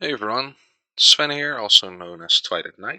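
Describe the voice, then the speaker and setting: A man with a Dutch accent. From Netherlands. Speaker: gaming video creator. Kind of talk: let's play commentary. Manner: halting, many fillers.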